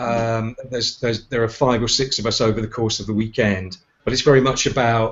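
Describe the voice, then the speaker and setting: At a moderate pace, a man with a British accent talks at a medium pitch. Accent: UK. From United Kingdom. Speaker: leadership and communications trainer. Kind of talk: casual chat. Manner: halting, many repeated words.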